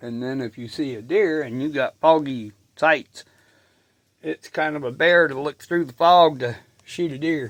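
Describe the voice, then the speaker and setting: Heard in a dry, close sound with no echo, a man with an unremarkable speaking voice talks fairly slowly at a fairly high pitch, with big swings in loudness. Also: ordinary pitch variation. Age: 60s. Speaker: outdoors vlogger, hunter building a cabin. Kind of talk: casual vlog talk to camera. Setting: in a cabin by the fireplace, snowing outside. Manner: relaxed, rambling casual.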